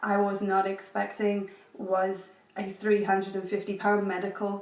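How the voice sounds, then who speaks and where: Amid noticeable background noise, a woman with an English accent speaks at a very slow pace. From England. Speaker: education professional, JET teacher. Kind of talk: casual vlog talk to camera.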